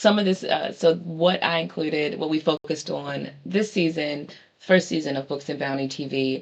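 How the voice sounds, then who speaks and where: A woman with a strong Baltimore accent talks at a moderate pace, her pitch very deep and low, with ordinary pitch variation. Noticeable background noise runs underneath. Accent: thick Baltimore. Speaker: book show host. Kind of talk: casual monologue show recap. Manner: hesitant, many fillers.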